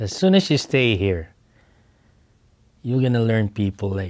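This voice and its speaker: A man's fairly low voice with ordinary pitch variation, in a strong Filipino accent. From Philippines. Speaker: oilfield instrumentation worker. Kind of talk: oral history interview. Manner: halting, with repeated words.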